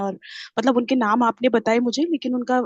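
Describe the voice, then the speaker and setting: Moderate pace and an Indian accent, with a dry, close sound with no echo and a quiet background. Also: woman. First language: Hindi. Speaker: student. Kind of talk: question and answer.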